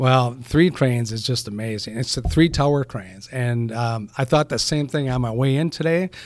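At a moderate pace, someone speaks with a Wisconsin accent and ordinary pitch variation. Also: man, medium pitch for a man. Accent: Upper Midwest (Wisconsin). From Eau Claire, Wisconsin. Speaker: construction company president. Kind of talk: casual interview.

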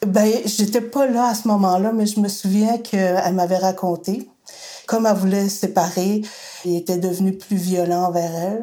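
This woman has a normal speaking voice at medium pitch, talking at a moderate pace with fairly even intonation. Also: very even loudness. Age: 60s. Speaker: daughter of a femicide victim, women's group worker. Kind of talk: testimony.

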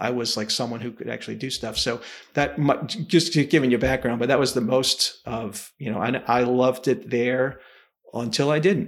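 A plain, everyday voice from a man, medium in pitch, with ordinary pitch variation and a moderate pace. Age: 50s. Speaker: engineering firm leader and consultant. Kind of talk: casual interview chat.

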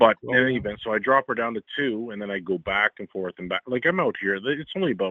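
A man talks at a fairly quick pace in an American accent. His pitch varies in an ordinary way. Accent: Canadian, slight Midwestern sound. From Ontario, Canada, near Detroit. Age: 40s. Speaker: caller. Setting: phone call.

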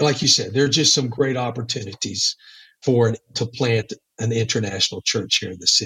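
In a Texas accent, a man with a medium-pitched, bright and sharp voice talks at a fairly quick pace with ordinary pitch variation, the sound dry and close with no echo. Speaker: church planter missionary. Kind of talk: casual interview. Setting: in Mexico, recorded remotely.

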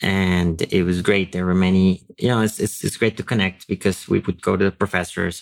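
A man with a Spanish accent, very deep and low-pitched, in a flat monotone at a fairly quick pace, on a very clean recording with a silent background. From Colombia. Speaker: AI researcher and educator. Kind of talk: interview.

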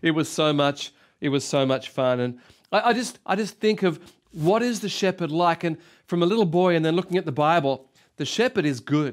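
Speaking with an Australian accent at a moderate pace, a man uses a high voice, an animated tone and lively intonation, recorded very cleanly with a silent background. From Australia (Sydney). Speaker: pastor. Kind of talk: sermon.

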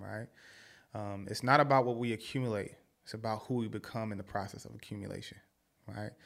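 In a very clean recording with a silent background, a man with an American accent speaks at a fairly low pitch. His pace is fairly quick and his intonation monotone and flat. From Philadelphia. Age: 30s. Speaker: podcast guest, social media personality and mentor. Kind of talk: casual chat.

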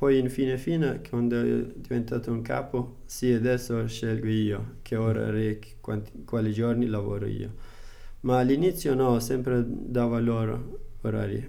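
Audible room echo surrounds a man's dark, mellow, medium-pitched voice as he talks at a fairly slow pace. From Afghanistan. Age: 20s. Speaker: food delivery rider and adult student. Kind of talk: interview. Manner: halting non-native Italian.

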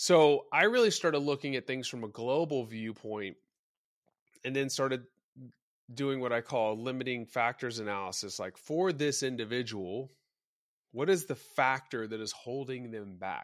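An unremarkable speaking voice with an American accent moves at a moderate pace. Its pitch varies in an ordinary way. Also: man, medium pitch for a man. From Texas, Dallas. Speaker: former strength coach. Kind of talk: casual chat.

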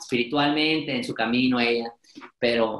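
An unremarkable speaking voice from a man, with ordinary pitch variation at a moderate pace. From Mexico, Monterrey. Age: 20s. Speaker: podcaster and speaker. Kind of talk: interview.

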